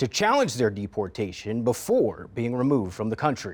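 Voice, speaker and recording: With a plain, everyday voice, a man speaks at a fairly quick pace and a medium pitch. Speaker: TV news anchor. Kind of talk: TV news anchor read.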